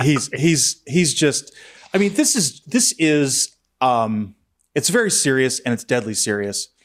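With a normal speaking voice, a man speaks at a fairly slow pace. His pitch is fairly high and his intonation lively. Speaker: podcast host. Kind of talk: casual chat.

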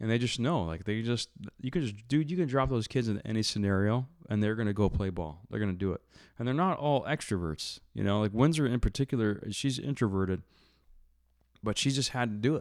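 The speech moves at a fairly quick pace with lively intonation, on a very clean recording with a silent background. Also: man, medium pitch for a man. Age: 40s. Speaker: entrepreneur and business coach. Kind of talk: casual interview chat.

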